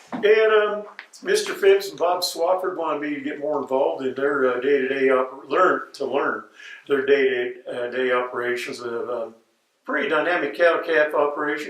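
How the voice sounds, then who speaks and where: A man speaks with an American accent at a fairly high pitch. The room echo is audible. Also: ordinary pitch variation, moderate pace. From Colorado, Denver area. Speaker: ex-ranch worker. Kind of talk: oral history interview. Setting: interviewer's home, on video. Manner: halting, many fillers.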